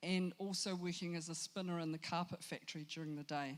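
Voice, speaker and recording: With a New Zealand accent, a woman speaks fairly quickly in a fairly low voice, her intonation fairly even. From New Zealand, Christchurch, Samoan family. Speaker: storyteller. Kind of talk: motivational talk.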